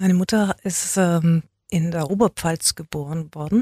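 The voice is somewhat breathy, with a dark, mellow tone and ordinary pitch variation. It moves at a fairly slow pace, and the sound is dry and close with no echo. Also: woman. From Swabia, Germany (Neu-Ulm), raised speaking standard German at home. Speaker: journalist and magazine publisher. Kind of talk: interview.

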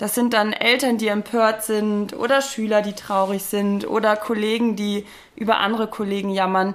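A woman in a normal speaking voice talks at a moderate pace with a fairly high pitch. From northern Germany, near Bielefeld. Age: 30s. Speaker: occupational psychologist. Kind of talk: interview.

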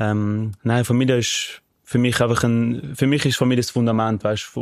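Recorded very cleanly against a silent background, a man speaks at medium pitch. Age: 20s. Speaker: podcast co-host, professional athlete. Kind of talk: casual chat.

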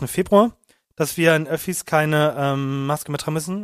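A man speaks in a normal speaking voice, his fairly high pitch carried with fairly even intonation. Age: 20s. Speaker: podcast co-host. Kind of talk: casual chat.

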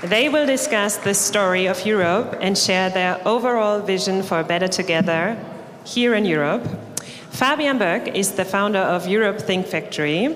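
A woman with a German accent speaks at a medium pitch and moderate pace, with ordinary pitch variation and very even loudness. Audible room echo and noticeable background noise surround her. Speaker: event presenter. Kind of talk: stage announcement. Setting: stage with audience.

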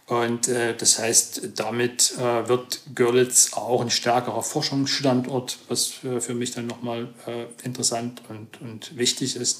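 Noticeable background noise runs under the recording. A man speaks very slowly in a monotone, flat voice. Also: medium pitch for a man. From Saxony, Chemnitz region. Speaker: computer science professor. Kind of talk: interview. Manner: hesitant, many fillers.

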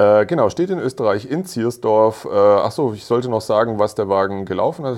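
A man speaks at a moderate pace and a medium pitch. It is an ordinary speaking voice. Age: 40s. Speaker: motoring journalist and podcast co-host. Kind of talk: casual chat.

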